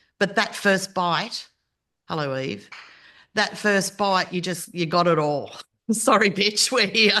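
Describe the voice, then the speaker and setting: Speaking slowly with long, frequent pauses, a woman with an Australian accent sounds animated, her bright, sharp tone at medium pitch with ordinary pitch variation. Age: 60s. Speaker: podcast host. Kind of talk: casual chat.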